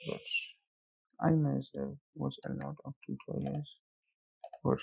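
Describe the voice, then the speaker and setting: The pace of the speech is fairly slow. A non-native accent comes through. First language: not English. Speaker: software tutorial instructor. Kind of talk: tutorial. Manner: casual.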